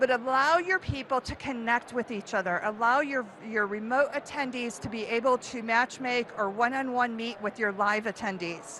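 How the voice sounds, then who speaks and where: A woman with an American accent speaks at a moderate pace in a high-pitched, animated tone. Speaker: event marketing speaker. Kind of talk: conference talk.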